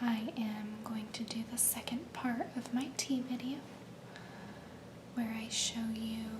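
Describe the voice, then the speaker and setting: A woman speaks in a relaxed tone at a very slow pace with fairly high pitch. Her intonation is monotone and flat, and background noise is noticeable. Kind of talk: ASMR soft-spoken show-and-tell to camera. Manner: soft-spoken, slow, relaxed.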